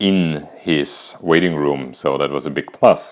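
The speaker has an Austrian accent and a fairly slow pace. Their intonation stays fairly even. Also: man. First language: German. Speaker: podcaster and cancer survivor. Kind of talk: personal storytelling monologue.

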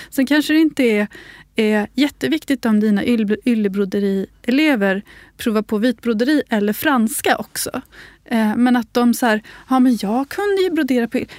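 A woman with a high pitch and lively intonation is heard on a very clean recording with a silent background and a dry, close sound with no echo. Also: moderate pace. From Sweden, Uppsala, grew up on a farm. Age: 30s. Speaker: craft author and tailor. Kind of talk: casual chat. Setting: studio.

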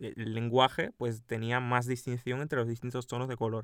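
Recorded very cleanly against a silent background, a man speaks at a moderate pace with a medium pitch. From Cuba. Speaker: podcast co-host. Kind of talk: casual chat.

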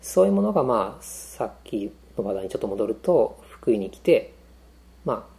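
A man speaks at a moderate pace. His loudness rises and falls in big swings. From Saitama, Tokorozawa; partly abroad as child. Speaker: web designer and programmer. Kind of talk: casual chat.

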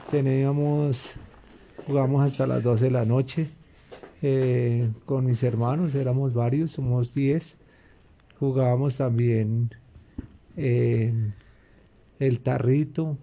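Very slow and broken by long, frequent pauses, a man speaks at a medium pitch in a flat monotone with very even loudness. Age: 50s. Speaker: interviewee, father. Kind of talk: casual interview. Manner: halting.

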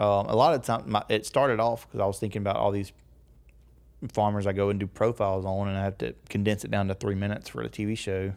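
A man with a slight Southern US accent talks very fast at a fairly low pitch. His pitch varies in an ordinary way, and the recording is very clean with a silent background. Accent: slight Southern country. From US South, rural northeast Louisiana. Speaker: agricultural media producer. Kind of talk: casual chat.

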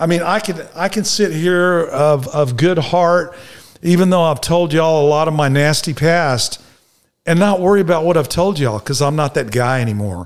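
Lively in intonation, a man speaks in a fairly high pitch with a Texan accent. His pace is moderate. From Dallas, Texas. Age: 60s. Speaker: recovering alcoholic. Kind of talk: testimony.

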